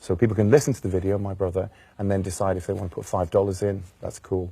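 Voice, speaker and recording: A somewhat breathy, dark, mellow voice in a Welsh accent, very fast in pace with fairly even intonation, on a very clean recording with a silent background. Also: man, fairly low pitch for a man. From Wales. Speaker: jazz singer. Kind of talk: interview. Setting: studio.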